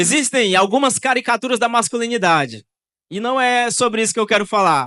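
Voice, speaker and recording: Raising and projecting his voice, a man talks at a fairly quick pace in a high pitch with ordinary variation and a bright, sharp tone, the sound dry and close with no echo over a quiet background. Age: 20s. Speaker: youth pastor. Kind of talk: sermon.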